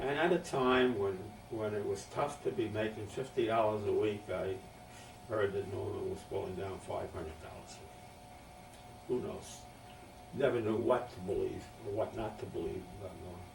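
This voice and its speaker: A man talks at a moderate pace, his loudness swinging widely. Room echo is audible, and background noise is noticeable. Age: 80s+. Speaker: family elder recording memoirs. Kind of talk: oral history interview. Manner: halting.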